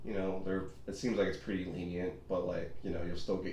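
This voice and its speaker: Somewhat breathy and dark, mellow in tone, a man's very deep, low voice carries audible room echo. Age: 20s. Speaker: physical therapy assistant. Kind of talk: casual chat.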